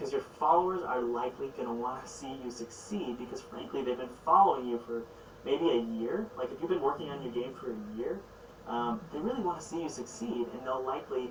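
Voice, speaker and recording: This man's medium-pitched voice moves fairly quickly with ordinary pitch variation, and noticeable background noise sits behind it. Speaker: game development YouTuber. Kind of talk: tutorial. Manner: fast.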